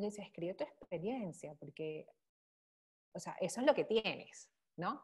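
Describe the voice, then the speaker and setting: With light background quiet around her, a woman sounds somewhat breathy and dark and mellow in tone, her pitch swinging very widely. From Venezuela, Caracas. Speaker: bitcoin columnist; podcast guest. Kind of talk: casual interview chat; interview answer. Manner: halting, many fillers. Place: home room. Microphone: earbuds.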